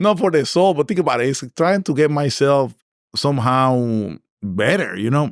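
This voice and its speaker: Speaking at a fairly slow pace with a Puerto Rican accent, a man sounds animated, with very wide pitch swings and a dry, close sound with no echo on a very clean recording with a silent background. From Puerto Rico (Naranjito). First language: Spanish. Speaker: engineering director. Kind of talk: interview conversation.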